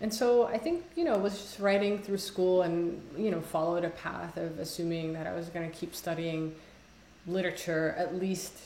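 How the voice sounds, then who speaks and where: With audible room echo and noticeable background noise, a woman speaks at a moderate pace in a fairly low voice with fairly even intonation. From Somalia. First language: Somali. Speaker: poet. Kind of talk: casual conversation interview. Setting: video call. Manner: halting, many fillers.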